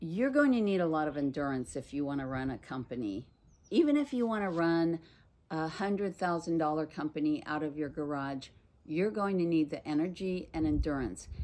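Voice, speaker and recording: Against a silent background in a very clean recording, a woman speaks at a fairly quick pace with lively intonation, a very deep, low pitch and a dark, mellow tone. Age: 60s. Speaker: small business owner and coach. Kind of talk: casual talk to camera.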